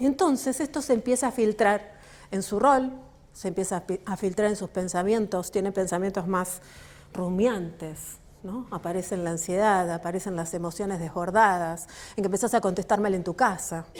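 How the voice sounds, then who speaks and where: A woman with a Rioplatense accent speaks at a medium pitch and a moderate pace, her pitch varying in an ordinary way. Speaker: author and work psychologist. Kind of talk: book launch talk. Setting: stage with audience.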